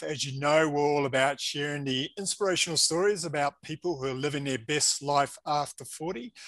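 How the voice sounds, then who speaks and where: A man speaks at a fairly quick pace with hardly any pauses, in a normal speaking voice. His pitch is fairly high, with ordinary variation. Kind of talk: interview host.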